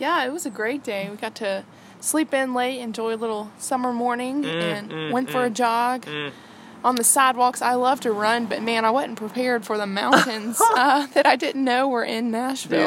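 Over noticeable background noise, a woman with a Mississippi accent speaks at a moderate pace in a high pitch with ordinary pitch variation. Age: 20s. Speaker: podcast guest.

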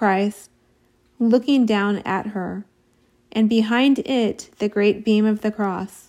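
A woman's fairly high voice, dark and mellow in tone and solemn, with ordinary pitch variation at a very slow pace. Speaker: audiobook-style reader of devotional text. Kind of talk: dramatic narration, solemn devotional reading aloud. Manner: slow, solemn, reverent, with weighty pauses.

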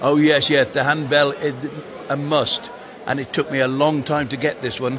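A man at a moderate pace with fairly even intonation, amid noticeable background noise. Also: fairly high pitch for a man. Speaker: town crier.

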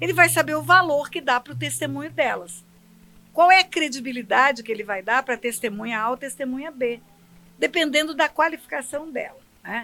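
A woman's raised, projected voice, high-pitched with a bright, sharp tone, lively intonation, a moderate pace and big swings in loudness. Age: 70s. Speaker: pastor and federal judge. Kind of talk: interview about religion.

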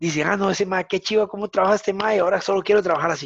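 A man with a Costa Rican accent speaks at a very fast pace in a dry, close sound with no echo. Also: quiet background. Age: 40s. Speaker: fitness coach. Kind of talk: interview conversation.

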